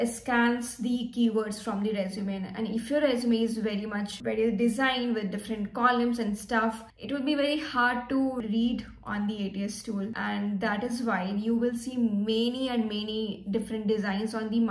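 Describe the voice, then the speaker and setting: A woman at a moderate pace with hardly any pauses, flat monotone intonation, and audible room echo. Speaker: career vlogger. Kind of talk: casual vlog tutorial. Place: home room. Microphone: phone near.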